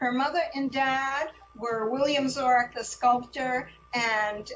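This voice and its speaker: A woman speaks at a very slow pace with fairly even intonation. Music plays behind her. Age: 70s. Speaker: author and former teacher. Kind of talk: talk to a class. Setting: video call. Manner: halting, many fillers.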